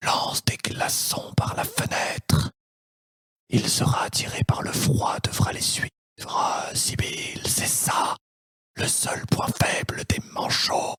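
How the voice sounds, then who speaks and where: Whispering in a put-on character voice, a man talks at a fairly slow pace with long, frequent pauses. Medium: audio drama. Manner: smooth, honeyed.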